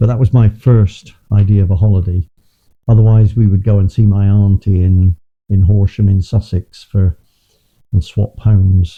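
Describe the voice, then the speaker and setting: A man's fairly low, somewhat breathy voice has a dark, mellow tone, very even loudness and fairly even intonation, with a dry, close sound and no echo. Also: moderate pace. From England, Bristol. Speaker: interviewee recalling childhood. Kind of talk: personal reminiscence. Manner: halting, repeats words.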